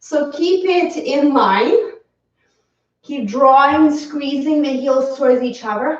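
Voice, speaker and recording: A woman with a non-native accent speaks very slowly in a high voice with ordinary pitch variation. Audible room echo surrounds her. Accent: foreign. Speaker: yoga teacher. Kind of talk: guided yoga class. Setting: home live stream.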